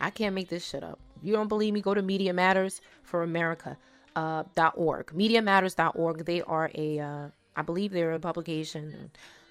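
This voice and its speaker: A woman talks in a normal speaking voice at a fairly low pitch. She keeps a fairly quick pace and fairly even intonation. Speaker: podcast host. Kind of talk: casual commentary podcast. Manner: reading aloud with commentary.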